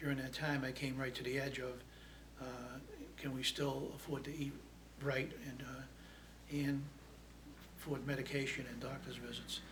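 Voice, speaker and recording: A man at a moderate pace with long, frequent pauses, amid noticeable background noise and audible room echo. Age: 70s. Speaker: food pantry client. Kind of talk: testimony. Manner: halting.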